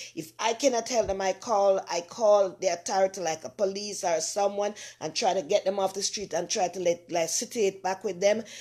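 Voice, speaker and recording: With a Jamaican accent, a woman speaks at a medium pitch and a moderate pace, her dark, mellow tone carrying fairly even intonation and hardly any pauses. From Jamaica, rural Saint Mary parish. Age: 60s. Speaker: online talk show host. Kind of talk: casual live-stream chat. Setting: home kitchen live stream.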